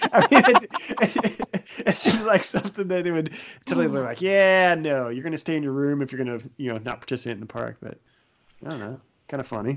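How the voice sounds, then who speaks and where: This man's voice sits fairly high and makes very wide pitch swings. He talks at a fairly quick pace. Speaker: podcast host, runner. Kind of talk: casual chat.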